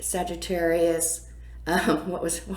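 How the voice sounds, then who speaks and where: A woman speaks loud, in an animated tone, with audible room echo and noticeable background noise. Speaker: astrologer and spiritual coach. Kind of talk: weekly astrology forecast, casual monologue.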